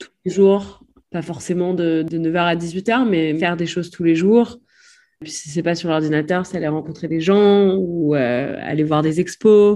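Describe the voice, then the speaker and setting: Against a quiet background, a woman with a dark, mellow tone and fairly low pitch speaks at a fairly slow pace with ordinary pitch variation. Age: 20s. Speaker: war photojournalist. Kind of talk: interview.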